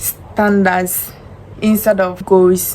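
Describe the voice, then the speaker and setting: The intonation stays monotone and flat. Noticeable background noise runs underneath. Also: woman. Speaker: self-help vlogger. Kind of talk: motivational talk to camera. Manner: loud, confident projection.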